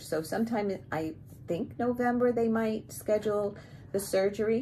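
At a moderate pace, a woman with an American accent talks in a medium pitch, her somewhat breathy voice dark and mellow in tone over light background noise. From US Northeast (Bronx, New York); New York. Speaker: cross-stitch vlogger. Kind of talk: casual video monologue. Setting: home video recording. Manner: hesitant, many fillers. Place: home room. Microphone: phone near.

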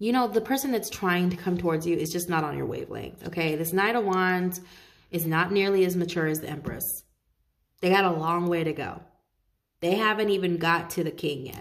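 A woman with a plain, everyday voice talks at a fairly quick pace with ordinary pitch variation. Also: fairly low pitch for a woman. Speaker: tarot reader. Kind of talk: casual tarot reading talk. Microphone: phone near.

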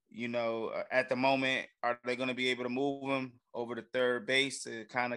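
Against a quiet background, a man's medium-pitched, bright, sharp voice holds a monotone, flat intonation. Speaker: sports podcast co-host. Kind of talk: casual banter. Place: home room. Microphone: studio mic.

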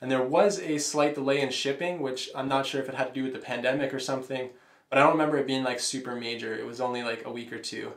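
Audible room echo surrounds a man's voice. He speaks very fast with fairly even intonation. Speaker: home gym product reviewer. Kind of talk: casual review monologue. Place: home room.

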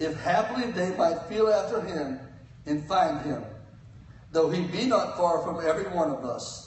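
A man's fairly high voice at a fairly slow pace, with lively intonation and audible room echo.

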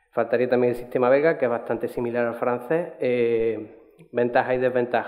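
This man's voice sits at a medium pitch, with fairly even intonation and a moderate pace. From Seville, Andalusia, Spain. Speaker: doctoral researcher. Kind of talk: conference talk. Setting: stage with audience. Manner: halting, many repetitions.

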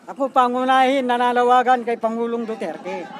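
A man's extremely high voice at a moderate pace, with crowd noise in the background. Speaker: farmer. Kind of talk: on-the-spot interview. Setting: outdoors at a protest site.

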